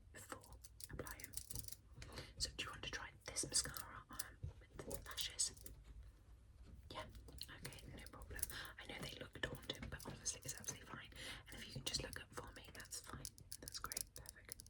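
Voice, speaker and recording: Whispering at a moderate pace with long, frequent pauses, a woman is heard over noticeable background noise. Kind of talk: ASMR role-play, whispered consultation. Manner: whispered, soft-spoken.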